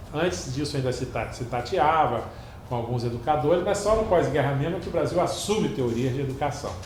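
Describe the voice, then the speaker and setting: Lively intonation marks this man's fairly high voice, heard with audible room echo and noticeable background noise. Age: 60s. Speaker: museum curator. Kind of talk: lecture. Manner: hesitant, many fillers.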